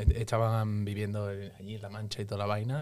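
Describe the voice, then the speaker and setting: With music in the background, a man speaks at a moderate pace in a fairly low pitch and monotone, flat intonation. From Seville, Spain. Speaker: musician. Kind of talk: casual chat.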